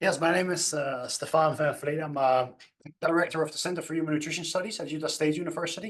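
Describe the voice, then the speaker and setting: Speaking at a very fast pace, a man with a Dutch accent uses fairly even intonation and a fairly high pitch. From Netherlands. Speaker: nutrition scientist. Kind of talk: panel discussion. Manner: halting.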